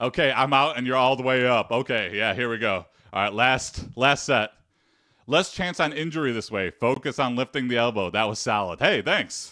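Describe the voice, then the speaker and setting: A loud, bright, sharp male voice at medium pitch, with ordinary pitch variation at a moderate pace. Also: very clean recording, silent background. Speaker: fitness streamer. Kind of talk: live-streamed workout chat.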